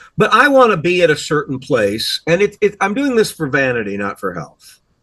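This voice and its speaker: Speaking with an American accent, a man with a high pitch and a bright, sharp tone makes very wide pitch swings. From US Midwest. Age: 60s. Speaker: podcast host. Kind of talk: casual chat.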